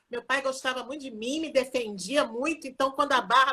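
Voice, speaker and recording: Raised and projected, a woman's high-pitched voice carries a bright, sharp tone and ordinary pitch variation. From Rio de Janeiro, Brazil. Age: 60s. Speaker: occupational therapy professor. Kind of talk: live interview. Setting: Instagram live video.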